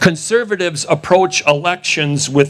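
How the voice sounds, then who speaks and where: A man with an American accent talks at a moderate pace over noticeable background noise. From Wisconsin. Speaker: election integrity activist. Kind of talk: rally speech. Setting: outdoor rally with audience. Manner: animated.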